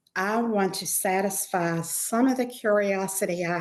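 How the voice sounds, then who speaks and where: Medium-pitched speech from a woman, with ordinary pitch variation. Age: 60s. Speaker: retiree and mature student. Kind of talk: podcast interview, storytelling. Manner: hesitant, many fillers.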